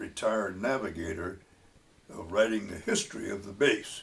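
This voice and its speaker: A somewhat breathy man with an American accent, fairly even intonation and a fairly slow pace. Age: 90s. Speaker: war veteran. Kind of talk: testimony. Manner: halting, many fillers.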